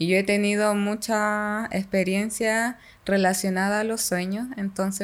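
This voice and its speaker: In a very clean recording with a silent background, a woman at medium pitch speaks at a fairly slow pace with monotone, flat intonation. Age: 20s. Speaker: podcaster. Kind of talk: casual chat.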